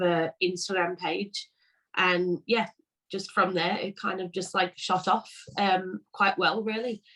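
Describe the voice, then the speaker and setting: In a Liverpool accent, a woman speaks at a medium pitch with fairly even intonation. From England, Liverpool. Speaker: vegan cookie business owner. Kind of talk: casual interview chat. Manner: hesitant, many fillers.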